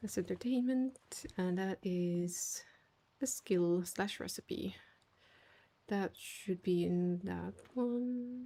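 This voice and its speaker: A woman speaks very slowly with a non-native accent, leaving long, frequent pauses. Her medium pitch has ordinary variation, and her tone is relaxed, dark and mellow. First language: not English. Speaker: gaming streamer. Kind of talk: casual livestream chat.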